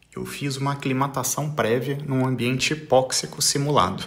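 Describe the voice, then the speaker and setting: Medium-pitched male speech at a moderate pace, noticeable background noise behind it and audible room echo around it. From Brazil. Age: 40s. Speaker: mountaineer and business executive. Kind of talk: recorded voice message. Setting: pre-recorded audio message.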